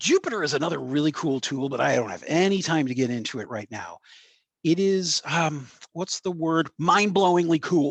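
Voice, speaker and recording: Recorded with a dry, close sound and no echo, a man speaks in a fairly high pitch with lively intonation. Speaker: tech presenter. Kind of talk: presentation. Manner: fast; casual, filler-heavy.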